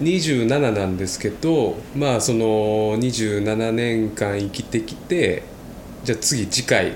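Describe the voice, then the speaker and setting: Very slow speech with ordinary pitch variation comes through audible room echo and noticeable background noise. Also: man, medium pitch for a man. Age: 20s. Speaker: podcast co-host. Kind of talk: casual chat.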